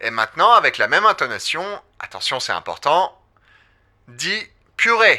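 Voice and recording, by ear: Big pitch swings and a bright, sharp tone mark this put-on character voice. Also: man, fairly high pitch for a man, moderate pace.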